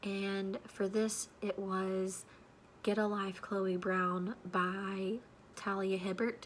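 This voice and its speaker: A woman talks at a very slow pace and a medium pitch. Her intonation is monotone and flat. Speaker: book youtuber. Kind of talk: casual vlog talk. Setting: home with people sleeping. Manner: quiet.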